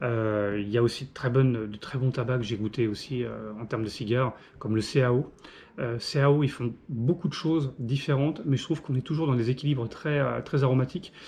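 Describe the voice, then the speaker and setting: Over a quiet background, a man talks at a fairly quick pace in a medium pitch. His voice is somewhat breathy, with ordinary pitch variation. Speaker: pipe and cigar reviewer. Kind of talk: casual product review monologue. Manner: fast; hesitant, many fillers.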